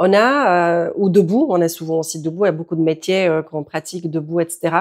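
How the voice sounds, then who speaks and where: A woman speaks at a fairly quick pace. Her pitch is fairly low, with ordinary variation. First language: Czech (speaking French). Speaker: yoga teacher. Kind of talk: tutorial.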